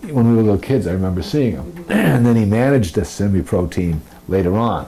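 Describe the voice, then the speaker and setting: A man rattles along at a very fast pace with lively intonation while noticeable noise fills the background. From Lewiston, Maine. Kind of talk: interview answer.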